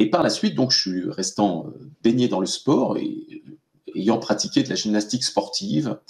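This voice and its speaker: Speaking at a fairly slow pace, a man is heard against a quiet background. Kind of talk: interview answer. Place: home room. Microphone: video call.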